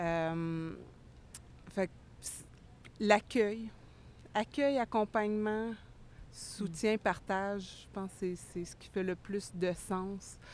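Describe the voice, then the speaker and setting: A woman at medium pitch speaks at a very slow pace, pausing long and often. Her pitch varies in an ordinary way while her loudness swings widely. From Quebec, Estrie. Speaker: community mental health worker. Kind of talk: interview.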